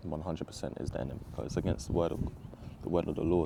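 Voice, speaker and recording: A man's very deep, low voice with a London accent, vocal fry and a dark, mellow tone, very fast in pace and fairly even in intonation. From Southeast London, England. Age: 20s. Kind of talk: personal testimony. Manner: casual, halting with fillers.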